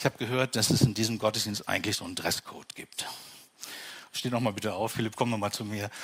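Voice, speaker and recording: At a very fast pace, a man speaks in a fairly low pitch with monotone, flat intonation. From Franconia, Bavaria. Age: 50s. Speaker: pastor. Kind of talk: sermon. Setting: church with congregation.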